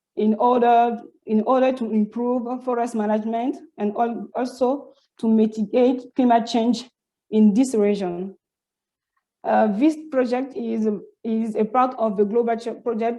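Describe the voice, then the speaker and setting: A woman with a French accent speaks at a fairly slow pace and fairly high pitch, her tone dark and mellow and her intonation fairly even. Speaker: PhD student researcher. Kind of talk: conference presentation. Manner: halting, many false starts and repetitions.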